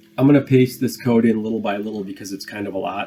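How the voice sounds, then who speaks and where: Pitched fairly low, a man uses an ordinary speaking voice with ordinary pitch variation. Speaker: programming instructor. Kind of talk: tutorial. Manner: casual with filler words.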